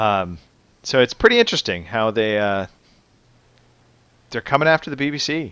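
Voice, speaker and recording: A man's bright, sharp voice with lively intonation, a moderate pace and long, frequent pauses, dry and close with no echo against a quiet background. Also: medium pitch for a man. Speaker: podcast host. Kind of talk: casual chat.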